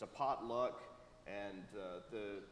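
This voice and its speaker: A man's fairly even intonation, with light background noise and audible room echo. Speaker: pastor. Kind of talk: church announcements. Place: church.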